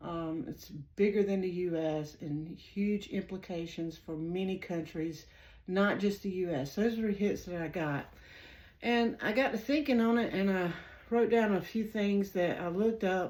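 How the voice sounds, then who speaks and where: A woman speaks at a medium pitch with a strong Southern US accent. Her pace is fairly slow, and her pitch varies in an ordinary way. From US South. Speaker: psychic tarot reader and channel host. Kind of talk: casual monologue to viewers. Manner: hesitant, many fillers.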